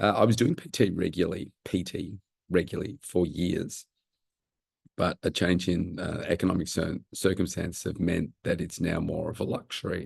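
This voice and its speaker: In an Australian accent, a man speaks at a moderate pace with a very deep, low pitch, ordinary pitch variation and a somewhat breathy sound. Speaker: personal trainer. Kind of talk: Q&A talk to camera. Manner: halting.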